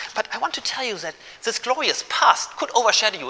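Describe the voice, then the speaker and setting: Noticeable background noise sits behind the speaker. He is a man with a high pitch. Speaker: philosophy professor. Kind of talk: public lecture. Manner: fast.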